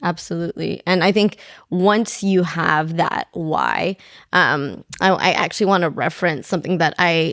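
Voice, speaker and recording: A woman with vocal fry speaks at a fairly low pitch and a moderate pace, her loudness very even. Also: fairly even intonation. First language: not English. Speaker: podcast co-host. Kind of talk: casual chat.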